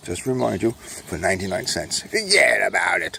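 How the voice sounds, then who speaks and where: A man talks with a New York accent. Noticeable background noise runs behind him. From New York, Brooklyn. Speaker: self-published author and vlogger. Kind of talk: casual monologue while walking. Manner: speaking low; rambling with fillers.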